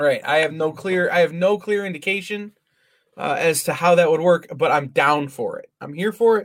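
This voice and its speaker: At a moderate pace, a man speaks with ordinary pitch variation and big swings in loudness. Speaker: podcast host. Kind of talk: casual chat.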